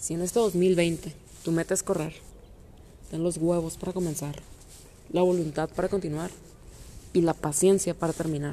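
With a dark, mellow tone and fairly low pitch, a woman speaks in a monotone, flat way at a moderate pace. She leaves long, frequent pauses. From Mexico, Monterrey. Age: 20s. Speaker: amateur runner. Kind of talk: scripted narration.

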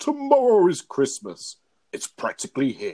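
A man puts on a growling character voice. He keeps a moderate pace. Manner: snarling, sneering.

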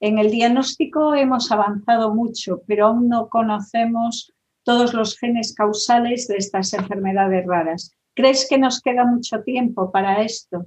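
A woman with a fairly high pitch and ordinary pitch variation speaks at a fairly slow pace in an unremarkable speaking voice. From Galicia, Spain. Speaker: interviewer. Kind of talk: interview.

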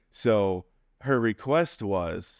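A man's fairly low-pitched voice, a plain, everyday voice, on a very clean recording with a silent background. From upstate New York. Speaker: podcast guest. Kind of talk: casual interview, personal storytelling.

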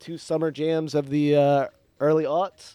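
A man with a fairly high-pitched voice speaks at a moderate pace in a normal speaking voice. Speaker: podcast host. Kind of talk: casual chat. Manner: joking, does mock radio voice.

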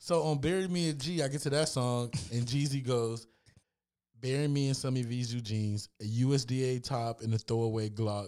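Over music in the background, a man speaks at a moderate pace with a medium pitch, ordinary pitch variation, and very even loudness. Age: 30s. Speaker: podcast host. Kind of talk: casual chat.

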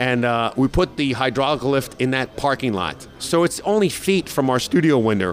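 Against noticeable background noise, a man speaks with an American accent at a medium pitch. His intonation is lively and his pace moderate. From New York. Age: 50s. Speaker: radio morning show host. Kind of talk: interview. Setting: restaurant and sports bar.

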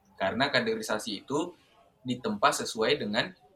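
There is noticeable background noise behind this male speaker. His pitch varies in an ordinary way. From Indonesia, Southeast Sulawesi. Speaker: university student and student organizer. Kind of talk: casual interview.

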